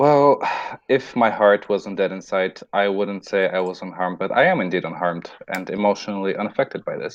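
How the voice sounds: A natural reading voice carries the whole recording.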